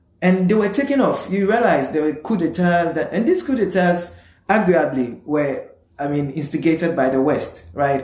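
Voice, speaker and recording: With audible room echo, a man speaks at a moderate pace in a high pitch with lively intonation. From Ghana. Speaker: postgraduate student and urban planner. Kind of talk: casual interview.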